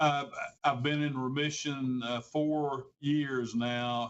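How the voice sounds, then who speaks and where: Very slowly, a man talks in a monotone with flat intonation. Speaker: university communications officer, former columnist. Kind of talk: interview.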